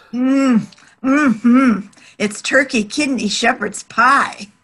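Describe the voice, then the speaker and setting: A woman's put-on character voice, high in pitch, with fairly even intonation and a very slow pace. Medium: short film. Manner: prim, sweet.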